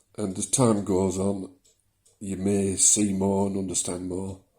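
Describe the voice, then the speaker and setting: A man with a Yorkshire accent speaks at a fairly slow pace. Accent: moderated Yorkshire. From South Yorkshire, England. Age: 60s. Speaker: vlogger with prostate condition. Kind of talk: personal video diary. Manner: hesitant, many fillers.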